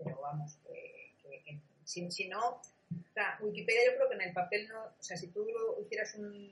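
Her loudness swinging widely, a woman speaks at a fairly slow pace. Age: 40s. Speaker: communication and social media expert, Wikipedia project coordinator. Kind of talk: interview. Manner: halting.

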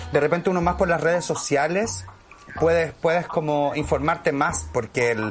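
A man speaks at a moderate pace, with noticeable background noise present. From Chile, Santiago (Conchalí). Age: 40s. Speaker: actor. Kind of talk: casual chat.

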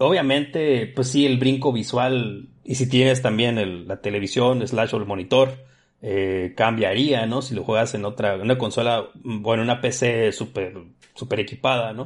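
In a northwestern Mexican accent, a man talks with fairly even intonation. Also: medium pitch for a man, fairly slow pace. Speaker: power plant supervisor and fighting game streamer. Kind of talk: casual chat.

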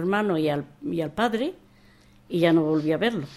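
This woman's voice has a dark, mellow tone. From Spain, Andalusia and Madrid. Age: 80s+. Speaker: war exile and memoir author. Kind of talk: interview testimony. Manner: halting, repetitive.

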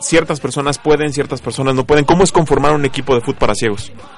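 A man speaks with music playing in the background. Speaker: sports radio host. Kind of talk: casual chat; interview.

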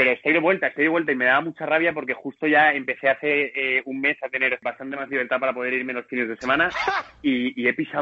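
Noticeable background noise runs under the recording. A man speaks at a very fast pace. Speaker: supporters' club member. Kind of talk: casual chat. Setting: airport. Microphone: may sound poor.

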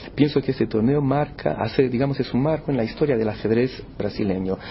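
Background noise is noticeable here. Through it, a man speaks. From Brazil, São Paulo. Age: 50s. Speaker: chess tournament organizer. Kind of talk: interview.

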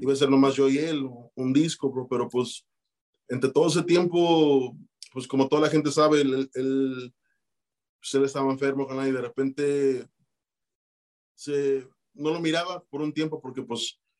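The intonation is fairly even and the pace moderate. Long, frequent pauses break up the speech. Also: man, fairly high pitch for a man. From Chicago, Mexican-born. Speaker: rapper. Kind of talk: casual interview.

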